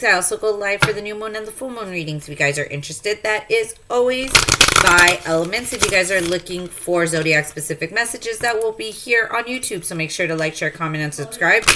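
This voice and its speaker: Over noticeable background noise, a woman talks at a very fast pace with lively intonation and hardly any pauses. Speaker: tarot reader. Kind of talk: tarot reading. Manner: hesitant, many fillers.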